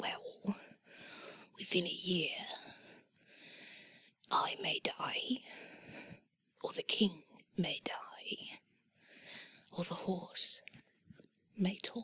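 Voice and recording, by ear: A put-on character voice with an English accent, raspy and fairly high, moves at a very slow pace with long, frequent pauses.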